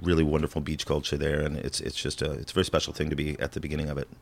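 A man's very deep, low voice with vocal fry and an American accent, monotone and flat, at a very fast pace. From US Midwest, rural Illinois. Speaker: spirits brand market manager. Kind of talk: casual chat.

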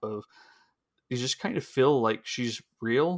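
A man with a normal speaking voice and medium pitch talks at a moderate pace on a very clean recording with a silent background. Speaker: book podcast co-host. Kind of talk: casual chat.

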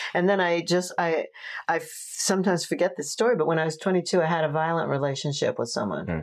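A woman with a New York accent, a fairly quick pace and ordinary pitch variation. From New York, Long Island. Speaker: tantra teacher. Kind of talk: casual chat. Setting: home office.

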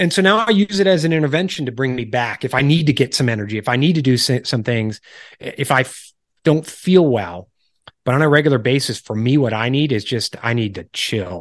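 Against a quiet background, a man with an ordinary speaking voice talks at a fairly quick pace and medium pitch with lively intonation. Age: 40s. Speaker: author and lifestyle coach. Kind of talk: interview conversation.

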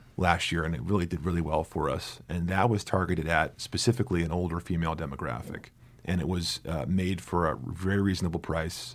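A man's very deep, low voice with vocal fry and an American accent, fairly quick in pace with ordinary pitch variation, in a very clean recording with a silent background. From New Jersey. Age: 40s. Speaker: film marketing executive. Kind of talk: interview conversation. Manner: halting, many repeated words.

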